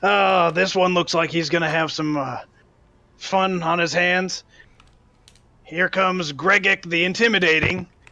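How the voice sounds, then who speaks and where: Doing a put-on character voice at a high pitch, a man speaks at a moderate pace with fairly even intonation and long, frequent pauses. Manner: booming.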